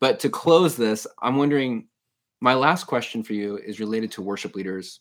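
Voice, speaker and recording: An ordinary speaking voice with lively intonation, delivered at a moderate pace. The loudness swings widely throughout. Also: man, medium pitch for a man. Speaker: podcast host. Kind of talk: casual interview. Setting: video call.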